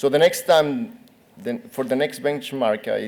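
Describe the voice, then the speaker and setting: With a Spanish accent, a man talks at a moderate pace. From Colombia. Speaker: academic researcher presenting. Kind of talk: conference Q&A.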